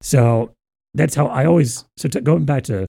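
On a very clean recording with a silent background, a man with a dark, mellow tone speaks at a fairly slow pace. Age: 20s. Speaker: podcast host and comedian. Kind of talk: casual chat.

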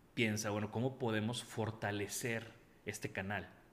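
A man talks at a moderate pace and a fairly low pitch. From Mexico, Tampico. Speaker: industrial designer. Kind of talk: interview.

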